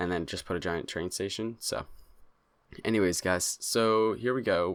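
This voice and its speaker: In a very clean recording with a silent background, a soft-spoken man talks at a moderate pace with fairly even intonation. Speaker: gaming youtuber. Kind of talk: gameplay commentary. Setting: home recording in new place. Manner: soft-spoken, talking low; halting, many fillers.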